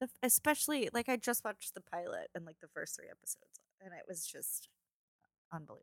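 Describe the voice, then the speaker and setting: Mumbling at a very fast pace, a woman's voice shows big swings in loudness in a dry, close sound with no echo. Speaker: podcast co-host. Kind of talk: casual chat.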